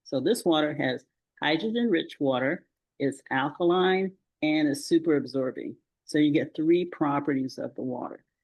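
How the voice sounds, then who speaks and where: A woman speaks at a moderate pace in a very deep, low voice, her pitch rising and falling in an ordinary way. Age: 70s. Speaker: retired pharmacist, health advocate. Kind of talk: interview. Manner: hesitant, many fillers.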